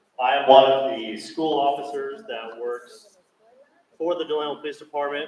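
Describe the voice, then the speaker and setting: A fairly quick, fairly high man's voice over noticeable background noise. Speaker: police school officer. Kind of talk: presentation to parents. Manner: loud, projecting.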